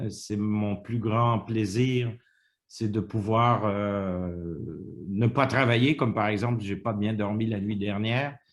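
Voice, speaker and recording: A man speaks at a very slow pace. His pitch is fairly low and his intonation fairly even. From Quebec, Montreal. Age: 60s. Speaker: retiree interviewee. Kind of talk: interview. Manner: halting.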